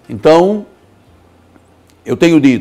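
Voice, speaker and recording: A man's high-pitched voice. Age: 60s. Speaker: pastor. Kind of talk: sermon. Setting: studio.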